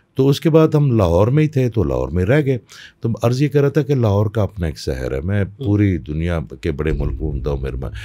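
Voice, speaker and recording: Over a quiet background, a dark, mellow voice moves at a moderate pace with very wide pitch swings. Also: man, fairly low pitch for a man. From Pakistan, Peshawar; Pakistan. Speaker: spiritual healer; podcast guest. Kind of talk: interview. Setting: studio. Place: studio. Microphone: studio mic.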